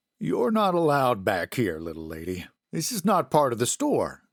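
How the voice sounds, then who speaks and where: In a very clean recording with a silent background, a man does a put-on character voice at a medium pitch and a moderate pace. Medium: read story. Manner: soft-spoken, hesitant.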